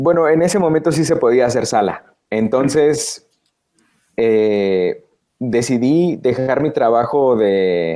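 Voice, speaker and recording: A man speaks at a very slow pace with lively intonation and very even loudness. His medium-pitched voice has a dark, mellow tone. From Guatemala. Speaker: voice actor. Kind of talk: interview answer.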